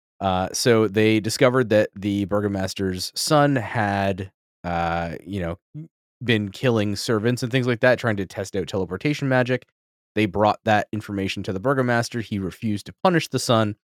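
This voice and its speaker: A man with a fairly low pitch uses a normal speaking voice at a moderate pace with ordinary pitch variation, in a very clean, dry, close recording with no echo and a silent background. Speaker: tabletop game master and podcast host. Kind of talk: casual chat. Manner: laughs often, casual with frequent filler.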